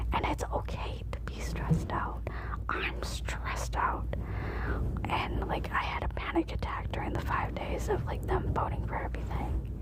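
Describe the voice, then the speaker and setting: Someone soft-spoken is whispering at a moderate pace. Noticeable background noise can be heard. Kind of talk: casual talk to camera, stress-relief ASMR talk. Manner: soft-spoken, whispering.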